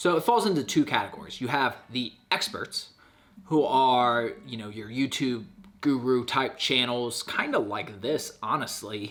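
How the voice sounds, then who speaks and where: Against noticeable background noise, a man with a medium pitch and ordinary pitch variation speaks at a fairly slow pace. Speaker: YouTuber giving channel-growth advice. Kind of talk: casual talking-head vlog tutorial. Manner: loud.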